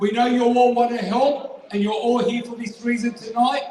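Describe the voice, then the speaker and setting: A man talks loudly at a moderate pace in an extremely high pitch, with noticeable background noise and audible room echo. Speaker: charity auctioneer. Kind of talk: live charity auction pledge appeal. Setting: fundraising dinner hall with audience. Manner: energetic.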